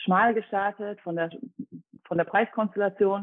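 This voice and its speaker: A woman with an unremarkable speaking voice talks at a medium pitch and moderate pace with fairly even intonation. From Dresden, Saxony (eastern Germany). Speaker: personal trainer, former competitive athlete. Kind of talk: podcast interview.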